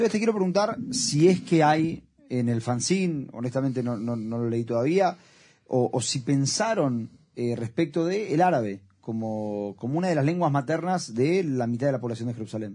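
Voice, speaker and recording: The man's pitch rises and falls very widely, with a quiet background behind him. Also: medium pitch for a man, moderate pace. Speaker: radio host. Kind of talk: interview. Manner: halting.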